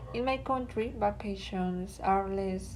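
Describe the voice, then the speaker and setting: A woman speaks at a very slow pace. Room echo is audible in the recording. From Colombia. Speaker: student. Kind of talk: class presentation reading answers.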